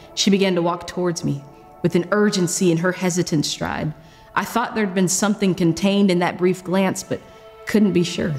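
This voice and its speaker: Over faint background music, a woman talks at a fairly quick pace with fairly even intonation. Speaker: spoken word artist. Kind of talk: spoken word poetry performance. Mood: earnest, emotional. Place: studio.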